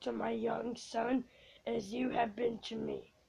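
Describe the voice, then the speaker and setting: A woman does a put-on character voice that is raspy and high-pitched. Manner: solemn, pleading.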